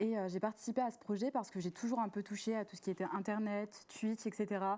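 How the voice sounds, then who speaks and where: Moving at a fairly quick pace, a woman with a fairly high pitch speaks in a dark, mellow tone with fairly even intonation. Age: 20s. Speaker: student panelist. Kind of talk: live talk show. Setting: studio.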